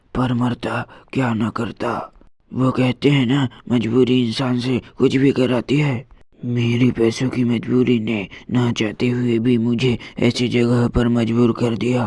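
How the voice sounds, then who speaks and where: A man does a cartoonish character voice at a medium pitch. His delivery is fairly slow, with monotone, flat intonation. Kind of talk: horror narration. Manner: tense, first-person storytelling.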